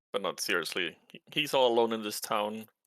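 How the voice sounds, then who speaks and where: Fairly low in pitch, a man talks at a fairly quick pace. The sound is dry and close, with no echo. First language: not English. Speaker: tabletop role-play player. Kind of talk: in-character role-play chat.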